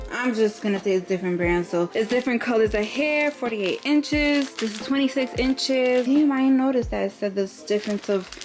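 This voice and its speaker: Over noticeable background noise, a woman with a fairly high pitch talks with hardly any pauses, very even loudness and ordinary pitch variation. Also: fairly quick pace. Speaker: beauty vlogger. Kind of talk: casual vlog tutorial. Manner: fast.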